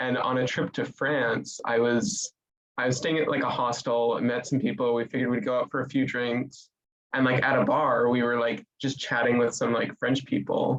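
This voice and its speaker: With an American accent, a man talks in a plain, everyday voice at a medium pitch, keeping a moderate pace, very even loudness and fairly even intonation. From United States. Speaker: study abroad student. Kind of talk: panel discussion. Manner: casual, filler-heavy.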